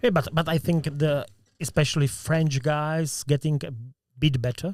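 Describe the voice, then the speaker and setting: The man's voice is somewhat breathy and fairly high-pitched. He speaks at a moderate pace with ordinary pitch variation. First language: Czech. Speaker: podcast host. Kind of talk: casual interview. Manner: halting.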